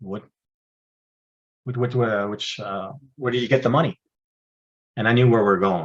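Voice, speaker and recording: Ordinary pitch variation in a man's moderately paced speech. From Northern Ontario, Canada (francophone). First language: French. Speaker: retired intelligence officer, speaker and trainer. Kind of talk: interview. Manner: halting, many fillers and repeats.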